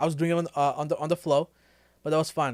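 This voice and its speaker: A man speaks at a very fast pace with a fairly high pitch. The sound is dry and close with no echo, on a very clean recording with a silent background. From Quebec, Canada (born Sri Lanka, moved at five). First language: French (Tamil heard first). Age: 20s. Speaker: YouTube film reactor and filmmaker. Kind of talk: casual livestream chat. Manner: fast, casual, with repetitions.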